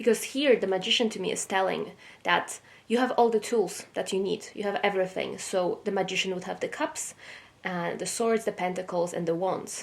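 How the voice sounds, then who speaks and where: Vocal fry in a woman's medium-pitched voice. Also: ordinary pitch variation, moderate pace. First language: not English. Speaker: tarot reader. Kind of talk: tarot reading. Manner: hesitant, with fillers.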